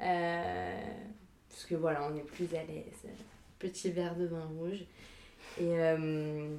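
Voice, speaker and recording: Amid noticeable background noise and audible room echo, a woman speaks at a very slow pace in a fairly low pitch, with monotone, flat intonation, big swings in loudness and long, frequent pauses. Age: 20s. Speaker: film student. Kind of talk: casual chat. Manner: halting.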